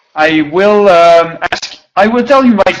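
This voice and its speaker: French accent and ordinary pitch variation. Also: man. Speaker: audience member asking a question. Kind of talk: online Q&A question. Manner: hesitant, many fillers.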